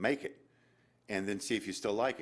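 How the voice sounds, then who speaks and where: On a very clean recording with a silent background, a man speaks. He talks at a fairly quick pace with ordinary pitch variation. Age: 60s. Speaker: inventor. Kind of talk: audience Q&A. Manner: halting.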